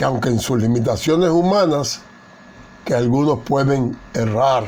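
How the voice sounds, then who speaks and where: A man speaks at a fairly slow pace with a medium pitch. Audible room echo surrounds his voice. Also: ordinary pitch variation. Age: 80s+. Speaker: Bible teacher. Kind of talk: Bible study lecture. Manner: formal.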